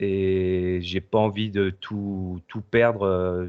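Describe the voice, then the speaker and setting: The speaker is a man with a fairly low pitch. His intonation stays monotone and flat. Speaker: paranormal investigator and video editor. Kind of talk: casual chat. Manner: hesitant, many fillers.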